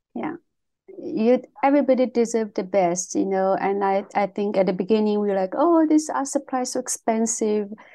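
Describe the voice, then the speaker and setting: Speaking at a moderate pace, a woman's dark, mellow voice moves with lively intonation. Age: 40s. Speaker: podcast co-host, artist. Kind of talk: casual chat. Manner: halting.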